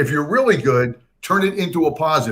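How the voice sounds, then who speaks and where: A man's lively intonation and energetic tone at a moderate pace. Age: 60s. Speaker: career coach. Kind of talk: interview. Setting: livestream.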